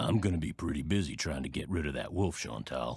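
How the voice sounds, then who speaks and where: A man puts on a character voice that is raspy and very deep, with a very low pitch. He speaks at a fairly quick pace with lively intonation. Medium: video game. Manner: folksy, plainspoken.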